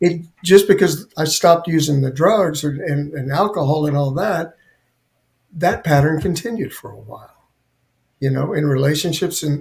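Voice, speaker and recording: A man speaks in an ordinary speaking voice at a fairly high pitch and moderate pace, with ordinary pitch variation. His loudness swings widely. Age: 60s. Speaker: guest sharing recovery story, Navy veteran. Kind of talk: personal testimony in interview.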